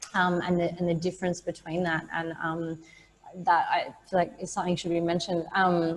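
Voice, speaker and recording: Fairly quick, fairly low-pitched speech from a woman with an Australian accent and monotone, flat intonation. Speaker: small business co-founder. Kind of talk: panel discussion. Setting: video call.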